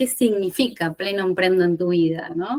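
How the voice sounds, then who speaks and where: A woman has an ordinary speaking voice at a medium pitch. She talks at a fairly slow pace. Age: 40s. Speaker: podcast host, independent professional. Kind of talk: podcast interview.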